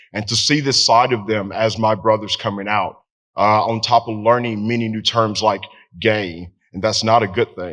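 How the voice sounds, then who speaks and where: Speaking with a Southern US accent, a man keeps a fairly low pitch and fairly even intonation. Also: moderate pace. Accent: Southern American. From Tennessee. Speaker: veteran. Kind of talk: storytelling. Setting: stage with audience.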